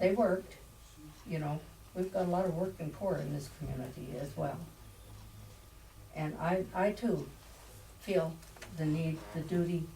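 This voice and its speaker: In a room with audible echo and noticeable background noise, a woman of fairly low pitch speaks at a moderate pace with long, frequent pauses. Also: ordinary pitch variation. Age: 80s+. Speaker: public commenter, district board member. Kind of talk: public comment at meeting.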